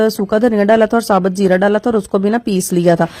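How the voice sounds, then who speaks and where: A woman speaks at a moderate pace in a fairly high pitch, her dark, mellow tone carrying fairly even intonation. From Pakistan. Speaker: home cooking vlogger, mother. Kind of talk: cooking tutorial vlog. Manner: casual, chatty.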